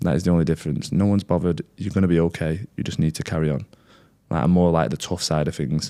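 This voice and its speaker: A man with an English accent talks at a very fast pace. His voice is dark and mellow, with a very deep, low pitch. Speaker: content creator sharing recovery story. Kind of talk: interview. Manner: loud.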